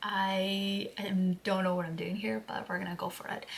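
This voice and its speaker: A woman with a non-native accent at a moderate pace, over noticeable background noise. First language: not English. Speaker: fitness coach and podcast host. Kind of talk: casual podcast monologue. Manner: halting, searching for words.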